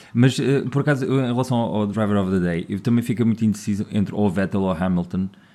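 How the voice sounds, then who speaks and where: Speaking very fast with hardly any pauses, a man uses a fairly low pitch, a dark, mellow tone and ordinary pitch variation. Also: very clean recording, silent background. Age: 40s. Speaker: podcast co-host. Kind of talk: casual chat.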